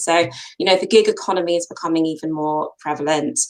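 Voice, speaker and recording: A woman with a British accent. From UK. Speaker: co-founder of a careers platform. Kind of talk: interview.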